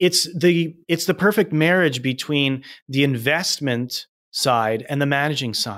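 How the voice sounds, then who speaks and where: A man with a Canadian accent, very slow and with lively intonation, in a very clean recording with a silent background. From Manitoba, Canada. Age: 40s. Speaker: real estate investor. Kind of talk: interview. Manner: halting, many fillers and repeats.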